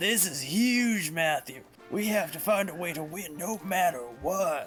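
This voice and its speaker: A man's put-on character voice, pitched high, at a moderate pace over clear background music. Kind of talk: laid-back slang.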